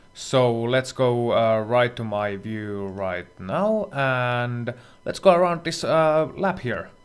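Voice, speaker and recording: Against music in the background, a man speaks very slowly at medium pitch with lively intonation. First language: not English. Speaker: sim racing instructor. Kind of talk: tutorial.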